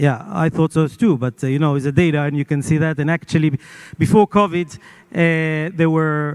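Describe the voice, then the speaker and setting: Speaking in an Israeli accent, a man with a fairly high voice talks at a moderate pace with fairly even intonation, and the sound is dry and close with no echo. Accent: Israeli Hebrew. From Israel, Jerusalem. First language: not English. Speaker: media owner. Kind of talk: panel interview. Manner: halting.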